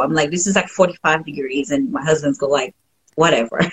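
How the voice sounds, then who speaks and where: A woman with a Haitian accent speaks at a fairly quick pace in a very deep, low voice. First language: French. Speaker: painter, former engineer, stay-at-home mom. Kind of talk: casual interview chat. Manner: laughs often.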